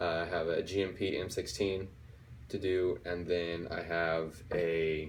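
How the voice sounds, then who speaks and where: In audible room echo, a man talks at a fairly slow pace. His very deep, low voice stays monotone and flat. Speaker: airsoft YouTuber. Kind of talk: casual unboxing video. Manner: halting, with many fillers.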